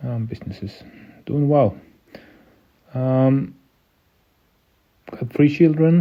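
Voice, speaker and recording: A man with a non-native accent speaks at a fairly slow pace. His pitch varies in an ordinary way. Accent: non-native English speaker. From Sweden. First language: Swedish. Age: 50s. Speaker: entrepreneur and local politician. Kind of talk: podcast interview. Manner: halting, many fillers.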